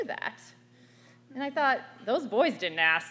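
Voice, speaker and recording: A loud woman with an American accent speaks high, with very wide pitch swings. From US, small town. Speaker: activist. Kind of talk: panel talk.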